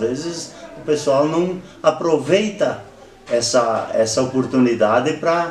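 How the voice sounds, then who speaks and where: Fairly high-pitched male speech at a fairly slow pace, with audible room echo and noticeable background noise. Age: 60s. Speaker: interviewee, local elder. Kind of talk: oral history interview. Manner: halting.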